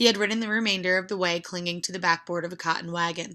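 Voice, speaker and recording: A raspy, put-on character voice rattles along at a very fast pace in a monotone, flat intonation on a very clean recording with a silent background. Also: woman. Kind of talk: audiobook reading. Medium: read story. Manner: even.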